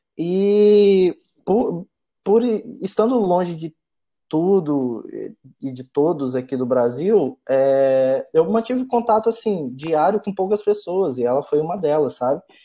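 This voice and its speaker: Very slowly, a man talks in a high pitch that moves through very wide swings. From Brazil, interior of Espírito Santo. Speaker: university student. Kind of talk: casual chat.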